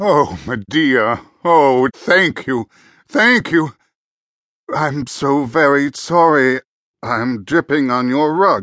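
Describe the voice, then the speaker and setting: Very slowly, a man speaks at a fairly high pitch with lively intonation, the sound dry and close with no echo over a quiet background. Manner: eager, flustered, overjoyed.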